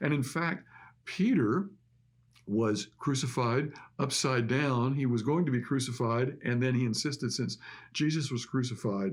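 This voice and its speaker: A man's normal speaking voice at a medium pitch, fairly slow pace, very even loudness and ordinary pitch variation, on a very clean recording with a silent background. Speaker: pastor. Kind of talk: sermon.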